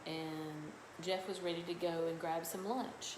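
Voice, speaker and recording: A woman with a fairly low pitch and fairly even intonation is heard with audible room echo and noticeable background noise. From south Louisiana (Cajun). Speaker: skincare seller and livestream host. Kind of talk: casual live stream chat. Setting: live video stream from home salon.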